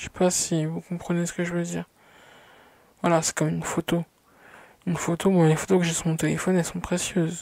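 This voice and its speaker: A woman speaks at a moderate pace in a very deep, low voice with a dark, mellow tone, recorded dry and close with no echo. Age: 20s. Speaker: vlogger. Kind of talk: personal vlog monologue. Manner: hesitant, many fillers.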